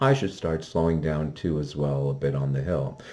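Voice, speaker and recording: This man's dark, mellow tone holds a moderate pace. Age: 60s. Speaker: ski reviewer. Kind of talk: product review. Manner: halting, many fillers.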